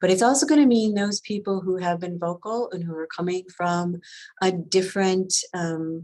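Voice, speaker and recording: A woman with an American accent speaks at a moderate pace in a medium pitch with ordinary pitch variation, on a very clean recording with a silent background. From Wisconsin, US Midwest. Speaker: history museum director. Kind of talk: presentation. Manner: halting, many fillers.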